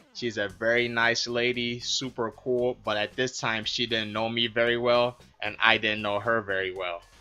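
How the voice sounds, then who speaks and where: A man's deadpan voice, medium in pitch, with fairly even intonation and a moderate pace, music in the background. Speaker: mixed martial arts fighter. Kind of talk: storytelling vlog narration.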